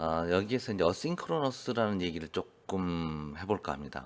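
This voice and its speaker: With a very deep, low pitch, a man talks at a fairly quick pace using lively intonation. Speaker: electronics instructor. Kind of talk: lecture. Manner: hesitant with fillers.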